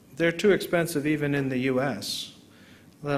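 There is noticeable background noise as a man speaks with an American accent. His pace is moderate and his pitch variation ordinary. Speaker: neurologist, visiting lecturer. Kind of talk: academic lecture. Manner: conversational, explanatory.

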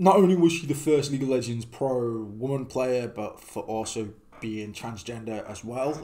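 At a moderate pace and with hardly any pauses, a man speaks with ordinary pitch variation and big swings in loudness. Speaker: streamer reacting to videos. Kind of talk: casual reaction commentary. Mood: somber, respectful.

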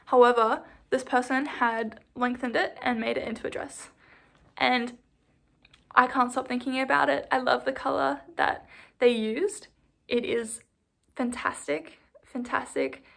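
Against a quiet background, a woman with an Australian accent speaks at a fairly slow pace with long, frequent pauses. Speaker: knitting vlogger. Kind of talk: casual vlog talk. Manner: animated. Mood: cheerful, enthusiastic. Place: home room. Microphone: phone near.

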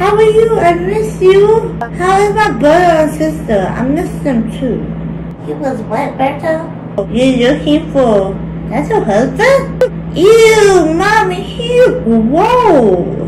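A woman speaks very slowly over clearly audible background noise. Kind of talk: acted comedic dialogue. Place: home room. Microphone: phone near.

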